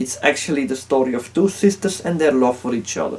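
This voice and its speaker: A man with a non-native accent speaks with fairly high pitch and lively intonation. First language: not English. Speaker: YouTube film ranker. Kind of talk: video commentary.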